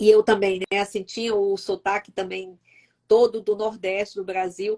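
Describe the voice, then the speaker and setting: Speaking at a moderate pace in a flat monotone, a woman with a medium-pitched voice and a dark, mellow tone sounds dry and close with no echo. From Northeast Brazil, Fortaleza. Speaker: YouTube host. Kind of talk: live-stream interview. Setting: live stream.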